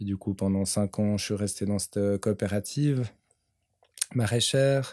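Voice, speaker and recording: A man with a dark, mellow tone and fairly low pitch speaks at a fairly slow pace with long, frequent pauses and fairly even intonation, the sound dry and close with no echo on a very clean recording with a silent background. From Switzerland, Vaud region (near Orbe). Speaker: farmer. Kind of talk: interview.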